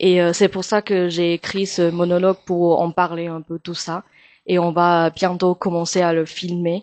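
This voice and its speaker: In a Chinese accent, a woman speaks at a fairly slow pace and a fairly low pitch, her intonation monotone and flat. The sound is dry and close with no echo, over a quiet background. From Taiwan. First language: Mandarin (speaking French). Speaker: actress and singer. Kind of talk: interview. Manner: halting with many hesitations.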